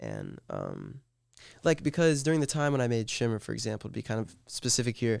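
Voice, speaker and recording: The recording is very clean, with a silent background. A normal speaking voice moves at a fairly quick pace with ordinary pitch variation. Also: man. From US South, Georgia and Texas. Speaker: musician. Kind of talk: casual interview.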